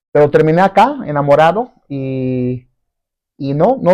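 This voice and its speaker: The man's tone is dark and mellow. He talks at a very slow pace. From Brazil. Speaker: businessman and marketer. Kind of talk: interview.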